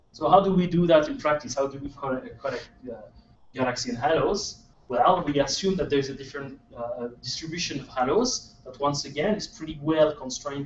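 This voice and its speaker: With a French accent, a man talks at a fairly quick pace and fairly high pitch, showing ordinary pitch variation and big swings in loudness. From France. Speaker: astronomer. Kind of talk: lecture. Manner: halting.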